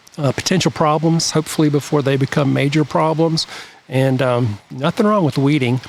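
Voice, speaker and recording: Noticeable background noise surrounds a man who speaks at a moderate pace with fairly even intonation and a fairly high pitch. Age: 60s. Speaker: garden designer. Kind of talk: casual chat.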